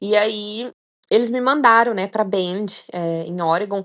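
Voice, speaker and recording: In front of a quiet background, a woman speaks with ordinary pitch variation. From Minas Gerais, Brazil. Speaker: long-distance hiker. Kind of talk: interview. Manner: hesitant, many fillers.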